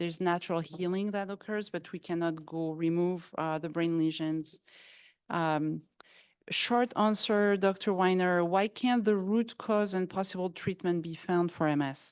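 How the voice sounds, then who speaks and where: Against a quiet background, a woman with a French accent speaks at a fairly low pitch and a fairly slow pace, with fairly even intonation. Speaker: forum moderator. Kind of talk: panel Q&A moderation. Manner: halting.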